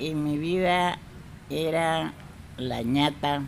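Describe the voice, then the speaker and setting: A woman's voice with audible room echo. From Colombia, Tumaco. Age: 80s+. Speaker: traditional midwife. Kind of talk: interview storytelling.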